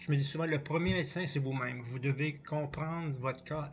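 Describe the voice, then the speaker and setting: A man's fairly high, somewhat breathy voice, flat and monotone, at a moderate pace. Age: 60s. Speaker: cross-country ski coach. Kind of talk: vlog tutorial. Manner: halting, repetitive.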